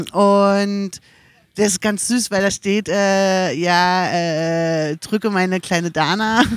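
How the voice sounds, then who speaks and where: Very slow speech with very even loudness and fairly even intonation. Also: woman, medium pitch for a woman. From Berlin (Mitte), Germany. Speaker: podcast guest. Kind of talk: casual chat. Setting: outdoors by a river at a music festival.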